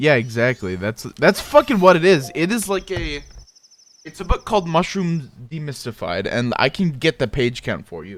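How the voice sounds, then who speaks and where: Pitch swinging very widely, a man with a slight Midwestern accent talks at a moderate pace. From US Midwest, South Dakota. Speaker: gaming streamer. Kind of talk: casual chat. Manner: halting, many restarts and fillers.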